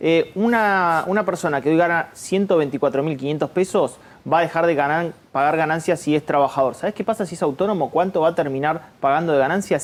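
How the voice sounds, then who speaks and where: Talking at a fairly quick pace, a man uses a high pitch with ordinary variation. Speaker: economic analyst. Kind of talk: TV panel discussion.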